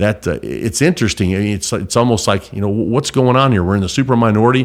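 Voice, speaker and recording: A man with an American accent talks at a very fast pace. His pitch is fairly low and varies in an ordinary way. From southern Illinois. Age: 50s. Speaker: state legislator. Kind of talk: interview. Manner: loud.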